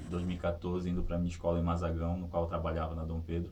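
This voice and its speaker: A man with a very deep, low, somewhat breathy voice speaks amid audible room echo. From Brazil, Pará (Vigia). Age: 30s. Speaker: sitting volleyball athlete and teacher. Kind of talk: interview testimony. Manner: halting, with repetitions.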